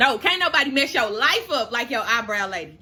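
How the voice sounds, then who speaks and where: A woman with an American accent speaks at a moderate pace in a high, bright and sharp voice with an animated tone. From St. Louis, Missouri, US. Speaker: beauty YouTuber and makeup artist. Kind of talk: casual storytime vlog while doing makeup.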